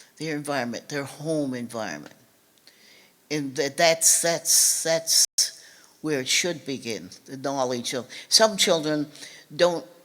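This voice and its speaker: A woman speaks with very deep, low pitch, ordinary pitch variation, and big swings in loudness at a fairly slow pace. Long, frequent pauses break up her speech over noticeable background noise. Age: 80s+. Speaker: civil rights author and speaker. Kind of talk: public talk. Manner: halting.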